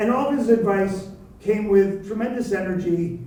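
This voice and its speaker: Speech comes at a moderate pace. Noticeable background noise and audible room echo are present. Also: man. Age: 60s. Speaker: event moderator. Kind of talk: event introduction.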